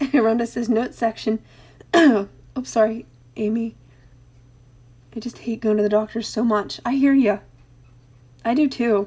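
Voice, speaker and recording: Pausing long and often, a woman speaks at a fairly slow pace in a fairly high pitch, her dark, mellow tone held on fairly even intonation. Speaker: craft live streamer. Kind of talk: live stream chat reading comments. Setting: live stream.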